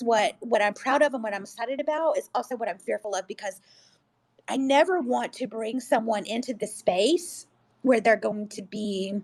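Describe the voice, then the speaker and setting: A woman speaks with a fairly high pitch and an animated tone. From US, Mexican-American family. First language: Spanish. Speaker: school principal. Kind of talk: panel discussion. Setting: online audio discussion.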